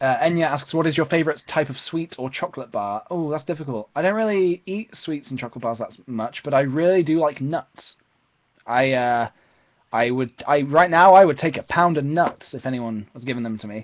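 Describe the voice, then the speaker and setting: A man with an East of England accent talks at a fairly quick pace, fairly high in pitch with ordinary pitch variation. His loudness swings widely. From England, Peterborough. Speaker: YouTuber live streamer. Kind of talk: live stream Q&A. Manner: fast; hesitant, many fillers.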